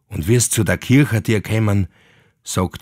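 A man with a Viennese accent is heard in a very clean recording with a silent background and a dry, close sound with no echo. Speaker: actor reading legends. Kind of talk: old folk tale narration in dialect. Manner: animated, dialect-coloured.

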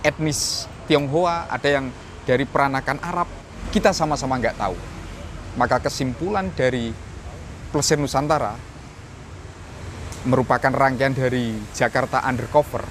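A man at a moderate pace with ordinary pitch variation and long, frequent pauses, dry sound with no echo, and light background noise. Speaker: history vlogger. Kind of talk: commentary. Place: garden. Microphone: phone near.

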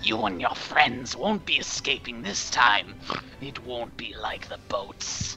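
A man performs a put-on character voice at medium pitch, with lively intonation and a fairly slow pace. Background noise is clearly heard. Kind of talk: in-character game narration. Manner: menacing.

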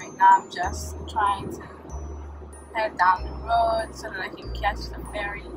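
A woman speaks at a very slow pace, with music in the background. The sound is dry with no echo. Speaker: vlogger. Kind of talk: casual vlog chat. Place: car. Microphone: phone near.

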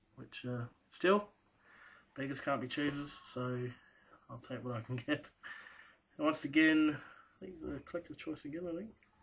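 A man with long, frequent pauses and ordinary pitch variation. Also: moderate pace, big swings in loudness. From Australia. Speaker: sports card collector and first-time video maker. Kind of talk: casual show-and-tell video. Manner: casual and hesitant, many fillers. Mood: relaxed, pleased. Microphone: webcam.

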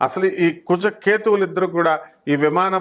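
Here is a man with an unremarkable speaking voice. His pitch shows ordinary variation. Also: very clean recording, silent background. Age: 30s. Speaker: astrologer. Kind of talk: monologue to camera.

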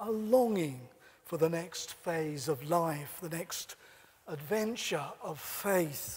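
A man talks at a very slow pace. His intonation is lively. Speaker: preacher. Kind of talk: sermon. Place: church. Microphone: lapel.

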